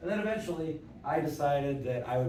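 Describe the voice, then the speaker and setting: A man of medium pitch speaks at a moderate pace, with noticeable background noise and audible room echo. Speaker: conference speaker, operations executive. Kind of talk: conference talk. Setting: stage with audience. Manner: loud; casual.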